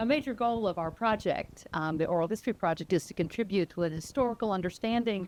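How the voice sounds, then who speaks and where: Here is a woman with a normal speaking voice. She talks at a fairly quick pace with lively intonation. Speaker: oral history interviewer. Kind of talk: interview questions.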